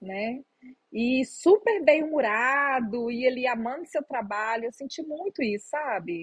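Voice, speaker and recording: This woman's voice is high in pitch, with lively intonation. She talks fairly slowly. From Minas Gerais, Brazil. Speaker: psychologist. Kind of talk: interview answer.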